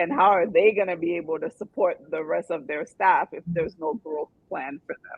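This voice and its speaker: A normal speaking voice moves at a moderate pace with ordinary pitch variation and hardly any pauses. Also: woman, fairly low pitch for a woman, big swings in loudness. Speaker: podcast host. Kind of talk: podcast host talk. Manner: upbeat.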